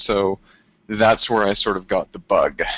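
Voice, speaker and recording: Fairly low-pitched man with a Canadian accent at a moderate pace, a plain, everyday voice. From Canada, Toronto. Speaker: travel photographer. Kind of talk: webinar interview. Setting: live webinar.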